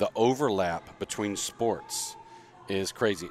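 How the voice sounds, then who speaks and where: Over noticeable background noise, a man with an American accent speaks in a fairly low voice and an animated tone. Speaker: podcast co-host, gym owner. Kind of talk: casual chat. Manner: casual, animated.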